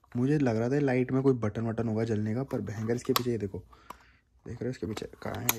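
Fairly quick and with fairly even intonation, a man talks in a slightly mellow tone.

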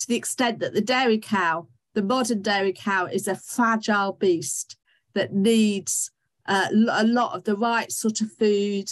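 Woman at a fairly slow pace, with ordinary pitch variation against a quiet background. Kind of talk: lecture. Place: home room. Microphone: webcam.

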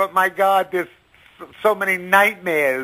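At a fairly slow pace, a man speaks in a raised, projected voice with a high pitch. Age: 50s. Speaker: caller.

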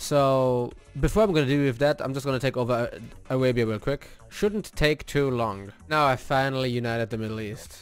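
Faint music sits in the background. Over it, a man's speech moves fairly quickly. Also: ordinary pitch variation, dry sound with no echo. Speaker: gaming video creator. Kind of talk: casual gameplay commentary. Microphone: studio mic.

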